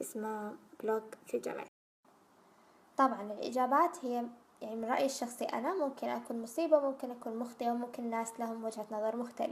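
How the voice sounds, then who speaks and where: Here a woman speaks at a moderate pace with a fairly high pitch. Her pitch varies in an ordinary way. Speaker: YouTuber, recent university graduate. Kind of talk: casual vlog Q&A.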